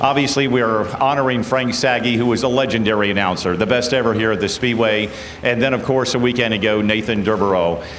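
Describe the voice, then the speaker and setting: With an American accent, a man speaks at a medium pitch and a fairly quick pace, with ordinary pitch variation and very even loudness, over noticeable background noise and audible room echo. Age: 60s. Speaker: race track announcer. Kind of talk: PA interview at race track.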